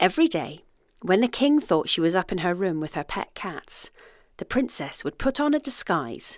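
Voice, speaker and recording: The voice is animated and playful, with very wide pitch swings at a moderate pace. The recording is very clean, with a silent background. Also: woman. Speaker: storyteller. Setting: outdoor fairy trail audio guide. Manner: animated, playful storyteller; warm, gently whimsical pacing.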